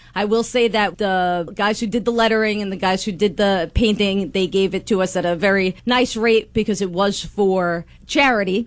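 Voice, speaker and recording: Speaking at a moderate pace with hardly any pauses, this voice carries a Long Island accent. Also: woman, medium pitch for a woman, very clean recording, silent background. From Long Island, New York. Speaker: taxi company owner. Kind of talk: radio interview. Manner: animated.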